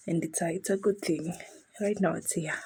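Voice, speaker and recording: Quiet and with vocal fry, a woman speaks at a fairly low pitch with ordinary pitch variation. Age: young. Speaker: vlogger, new mother. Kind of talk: vlog voiceover. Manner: quiet, lowered voice; casual, chatty.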